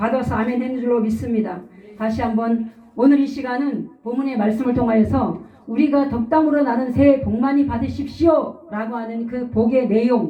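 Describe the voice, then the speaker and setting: A woman with a high-pitched voice speaks with fairly even intonation, and the room echo is audible. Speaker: pastor. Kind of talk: sermon.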